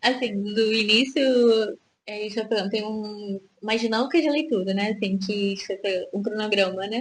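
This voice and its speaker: A woman at a fairly high pitch, moderate in pace, with ordinary pitch variation. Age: 30s. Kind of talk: casual radio chat. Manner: hesitant, many fillers.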